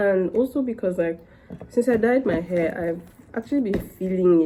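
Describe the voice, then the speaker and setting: A woman talks at a moderate pace with lively intonation. Background noise is noticeable. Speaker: hair care vlogger. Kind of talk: casual vlog tutorial. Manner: casual, rambling.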